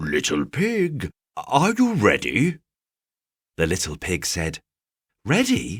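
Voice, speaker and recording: Calm in tone and edged with vocal fry, a man speaks at a very slow pace with very wide pitch swings, the sound dry and close with no echo. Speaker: bedtime story narrator. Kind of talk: sleep story reading for kids. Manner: calm, relaxing.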